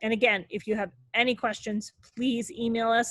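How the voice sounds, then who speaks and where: Somewhat breathy, a woman speaks at a moderate pace in a fairly high pitch. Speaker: robotics team mentor. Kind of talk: online meeting presentation. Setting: video call.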